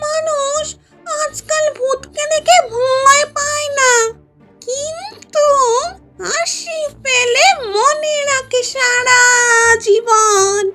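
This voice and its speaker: A female-sounding put-on character voice pitched extremely high speaks at a very slow pace. Faint music plays in the background. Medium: audio drama. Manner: lively, chatty.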